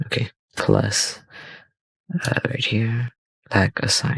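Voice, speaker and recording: Quiet and very slow, a man's voice comes through dry and close with no echo, bright and sharp in tone with vocal fry. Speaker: 3D software tutorial youtuber. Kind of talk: tutorial. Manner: casual, hesitant with fillers.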